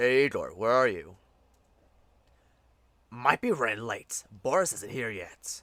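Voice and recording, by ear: A man's gruff, put-on character voice at a medium pitch and fairly slow pace, with long, frequent pauses, on a very clean recording with a silent background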